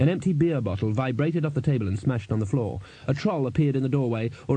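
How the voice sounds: Natural reading voice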